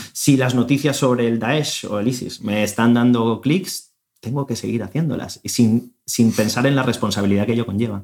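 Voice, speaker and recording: In a normal speaking voice, a man talks at a moderate pace and medium pitch, with ordinary pitch variation and hardly any pauses. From Spain. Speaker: podcast host. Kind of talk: interview.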